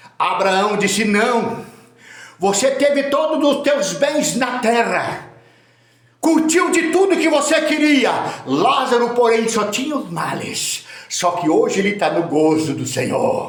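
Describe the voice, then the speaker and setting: The speaker talks at a very slow pace with very wide pitch swings. Noticeable background noise and audible room echo fill the recording. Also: man, extremely high pitch for a man. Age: 60s. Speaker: preacher. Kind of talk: sermon. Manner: animated.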